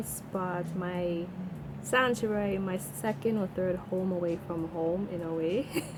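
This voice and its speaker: A woman with a Trinidadian accent speaks at a very slow pace with ordinary pitch variation. Noticeable background noise runs behind her. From Trinidad and Tobago. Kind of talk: casual storytime to camera.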